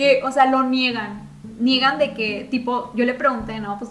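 A woman with a Mexican accent talks in a high pitch at a moderate pace, with audible room echo and noticeable background noise. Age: young. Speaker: podcast co-host. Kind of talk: casual chat. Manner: animated.

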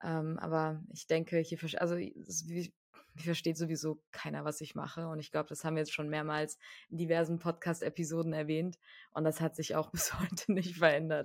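Very deep, low woman's voice in a flat monotone at a moderate pace, on a very clean recording with a silent background. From Germany, Frankfurt. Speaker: podcast co-host. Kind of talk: casual chat.

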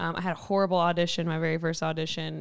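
A woman talks at a very fast pace with a Kentucky accent. Her pitch is fairly low. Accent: Southern US (Kentucky). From Kentucky, Mayfield. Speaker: church worship pastor. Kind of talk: casual interview chat. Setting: studio.

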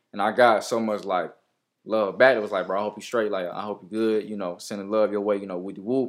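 A man talks at a very fast pace in a fairly low, monotone, flat voice, on a very clean recording with a silent background. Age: 20s. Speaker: rapper. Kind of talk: casual chat. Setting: studio.

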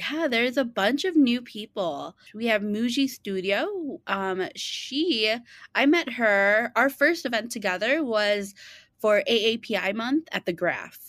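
A woman talks with a Chicago accent in a fairly high voice. Her pace is fairly slow and her intonation lively. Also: very clean recording, silent background. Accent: Chicago-area American. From Chicago western suburbs, US. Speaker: small business founder and event organizer. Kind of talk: interview. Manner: halting, many fillers.

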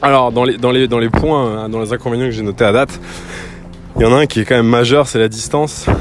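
Very fast speech from a man, medium in pitch, with fairly even intonation and noticeable background noise. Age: 30s. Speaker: podcaster. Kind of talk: casual solo monologue. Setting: outdoors. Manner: halting, many fillers.

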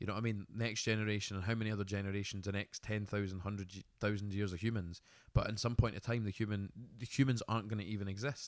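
A fairly low-pitched man with a Scottish accent, talking at a very fast pace. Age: 20s. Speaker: podcast co-host, business owner. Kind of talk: casual chat. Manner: animated.

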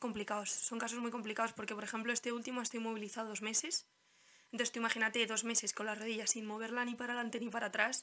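In a fairly high voice, a woman speaks with monotone, flat intonation. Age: 20s. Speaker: physiotherapist. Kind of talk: casual chat.

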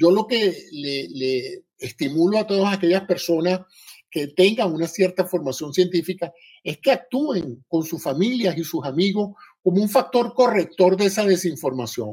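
This man's pitch is high and his intonation lively. He speaks at a fairly slow pace. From Venezuela. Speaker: retired physician and biomedical engineer. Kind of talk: live audio-room talk.

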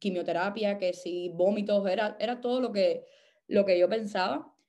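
A woman speaks at a fairly slow pace in a dark, mellow tone. Her pitch sits in the medium range, with fairly even intonation. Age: 30s. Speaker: actress and cancer survivor. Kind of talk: testimony. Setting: voice message. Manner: halting.

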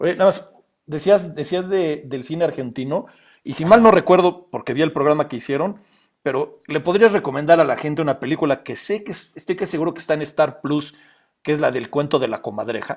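A man with an unremarkable speaking voice talks at a fairly high pitch with ordinary pitch variation. His loudness swings widely. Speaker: podcast co-host. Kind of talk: casual chat. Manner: playful, jokey.

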